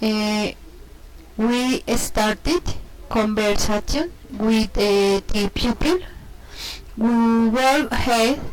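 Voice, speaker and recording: A woman's fairly high voice in a Spanish accent, very slow, with ordinary pitch variation. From Colombia, Cundinamarca. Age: 30s. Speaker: English learner. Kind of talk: self-introduction practice. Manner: halting, many hesitations.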